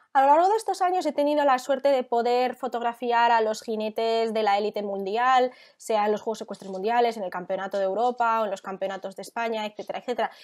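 Barely pausing, a woman talks at a very fast pace and a fairly high pitch. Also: ordinary pitch variation, quiet background. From Spain, Barcelona; Catalonia, Spain. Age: 20s. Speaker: equestrian photographer. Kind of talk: interview; interview answer. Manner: hesitant, with fillers. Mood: warm, enthusiastic. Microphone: earbuds.

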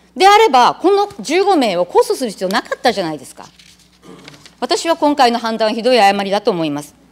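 Her voice is high, with very wide pitch swings and big swings in loudness. The woman talks at a fairly quick pace. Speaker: city council member. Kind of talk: parliamentary questioning. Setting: council chamber. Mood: indignant, critical. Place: hall.

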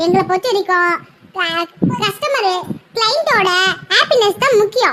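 In a cartoonish character voice, a woman speaks at an extremely high pitch with lively intonation and a moderate pace. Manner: boastful, blunt.

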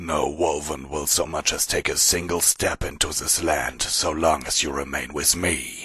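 At a moderate pace, the speaker growls through a put-on character voice. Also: man, very deep, low pitch for a man. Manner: eager, barely contained.

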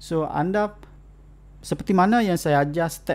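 A man in an ordinary speaking voice with lively intonation. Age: 40s. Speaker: college lecturer. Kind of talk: online lecture.

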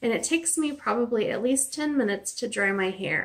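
This woman's intonation is lively. She speaks at a moderate pace. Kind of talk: casual vlog chat. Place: home room. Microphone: phone near.

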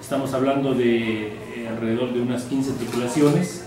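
At a fairly quick pace, a man talks through noticeable background noise and audible room echo. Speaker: rally club president. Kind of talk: press conference statement. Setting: press conference. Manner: halting, hesitant with fillers and restarts. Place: meeting room.

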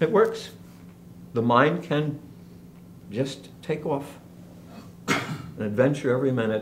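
Light background noise sits behind a man whose fairly high, somewhat breathy voice has lively intonation. He speaks at a fairly slow pace with long, frequent pauses. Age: 70s. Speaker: teacher leading an emotional-wellbeing class. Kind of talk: lecture. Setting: classroom. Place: home room. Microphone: camera far.

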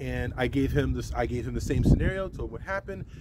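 A man at a very fast pace, dry sound with no echo, and loud background noise. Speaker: tractor owner vlogger. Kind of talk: casual vlog chat. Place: farm machine.

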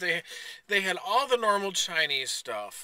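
A man talks at a moderate pace. His tone is bright and sharp.

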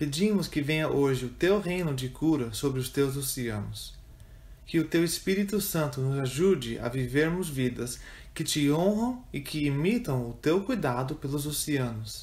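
A man with a fairly high pitch speaks at a fairly slow pace, somewhat breathy. His tone is solemn, yet his intonation is lively. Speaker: prayer reader. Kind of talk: fervent prayer, read aloud as a communal intercession. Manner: solemn, earnest, slow and reverent, with pleading intensity.

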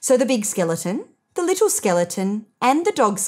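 Someone reads in a natural reading voice while the background stays quiet.

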